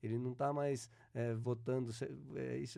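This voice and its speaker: With a dark, mellow tone, this man talks at a medium pitch. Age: 60s. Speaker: local council candidate, former city secretary. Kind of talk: political interview. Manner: halting, many repetitions.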